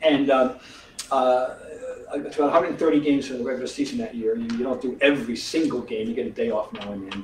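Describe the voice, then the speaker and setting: Very fast-talking man of medium pitch with lively intonation, audible room echo and noticeable background noise. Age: 70s. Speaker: sportswriter and author. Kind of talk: author talk, conversational interview. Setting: theater with live audience. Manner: animated.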